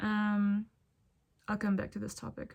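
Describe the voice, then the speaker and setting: Recorded very cleanly over a silent background, a woman with a Ukrainian accent speaks at a moderate pace and medium pitch. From Ukraine. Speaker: spiritual content creator. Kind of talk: casual monologue vlog. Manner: casual, thinking aloud with fillers.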